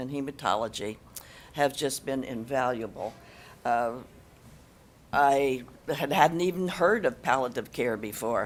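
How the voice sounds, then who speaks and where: A woman with an American accent talks at a moderate pace in a very deep, low voice. Her intonation is lively, and music plays in the background. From US Midwest, Ohio. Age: 80s+. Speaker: family caregiver. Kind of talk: panel testimony.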